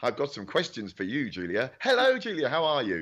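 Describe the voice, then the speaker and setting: This man's fairly high voice sounds animated, swinging very widely in pitch and showing vocal fry. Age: 50s. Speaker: awards show presenter. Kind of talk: live online awards hosting. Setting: home recording studio, video call.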